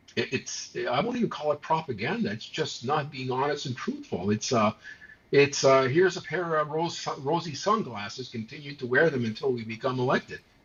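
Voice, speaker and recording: A man's fairly high-pitched voice at a fairly quick pace, lively intonation over noticeable background noise. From Montreal, Quebec. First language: not English, not French. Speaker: political talk show co-host. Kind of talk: casual political discussion. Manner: animated, many hesitations and repeated words.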